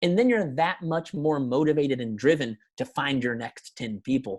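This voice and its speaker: An animated man with lively intonation on a very clean recording with a silent background. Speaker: network marketing coach. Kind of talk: motivational talk. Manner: fast.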